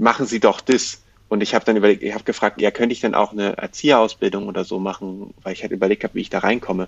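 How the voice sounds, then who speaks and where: At a very fast pace, a man speaks in a fairly low pitch with fairly even intonation. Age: 20s. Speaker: education activist. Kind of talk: interview. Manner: halting, many fillers.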